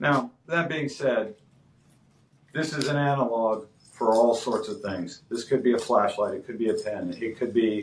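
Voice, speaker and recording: Using an ordinary speaking voice, a man talks at a moderate pace and medium pitch with ordinary pitch variation. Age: 50s. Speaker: martial arts instructor. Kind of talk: podcast interview. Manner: casual, filler-heavy.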